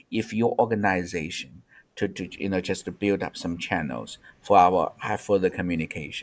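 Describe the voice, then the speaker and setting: At a moderate pace, a man talks with a Chinese accent. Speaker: academic. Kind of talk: webinar discussion. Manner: halting.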